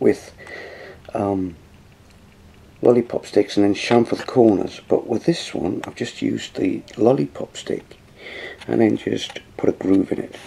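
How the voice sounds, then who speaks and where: At a fairly slow pace, a man is talking. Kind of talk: tutorial. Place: home room. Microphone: phone near.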